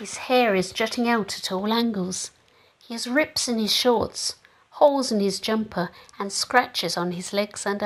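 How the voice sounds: The reading voice is natural, and its pitch rises and falls in an ordinary way.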